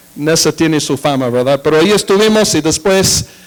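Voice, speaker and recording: Against noticeable background noise, a man with an American accent speaks at a moderate pace in a fairly high pitch with ordinary pitch variation. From United States. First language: English (speaking Spanish). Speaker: pastor and missionary. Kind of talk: sermon. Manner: halting, with fillers.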